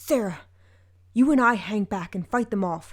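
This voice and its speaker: A female-sounding, growling put-on character voice at medium pitch and a moderate pace, on a very clean recording with a silent background. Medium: read story.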